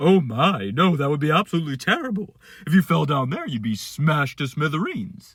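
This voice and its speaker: A put-on character voice with lively intonation at a fairly quick pace. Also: man, fairly high pitch for a man. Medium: read story.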